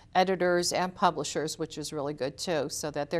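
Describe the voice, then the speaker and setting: A woman talks at a fairly quick pace with a very deep, low pitch and fairly even intonation. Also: quiet background. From Connecticut, US. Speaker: mystery novelist. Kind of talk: interview. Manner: fast.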